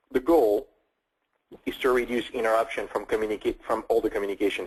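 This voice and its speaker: A man with a French accent at a very fast pace. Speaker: tech company CEO. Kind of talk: webinar product presentation. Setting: online webinar call.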